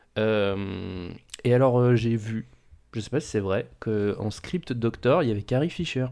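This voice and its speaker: Against a quiet background, a man talks at a very slow pace with a medium pitch, a dark, mellow tone and ordinary pitch variation. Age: 20s. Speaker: film podcast host. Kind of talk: casual chat.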